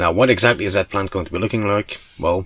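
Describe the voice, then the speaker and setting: A man speaks in a somewhat breathy voice. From Belgium (Flanders). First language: Dutch. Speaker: hobbyist vlogger. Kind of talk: casual vlog walkthrough. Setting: home attic. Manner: hesitant, many fillers.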